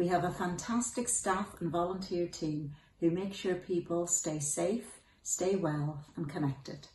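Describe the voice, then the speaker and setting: In a Donegal accent, a woman with a fairly low pitch and a somewhat breathy voice talks amid light background noise and audible room echo. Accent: Donegal Irish. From Donegal, Ireland. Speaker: charity director. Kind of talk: personal video message to camera. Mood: warm, earnest.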